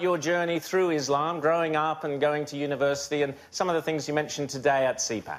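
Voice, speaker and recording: At a very fast pace, a man with an Australian accent speaks in a fairly high pitch. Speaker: TV news host. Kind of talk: TV interview. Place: studio.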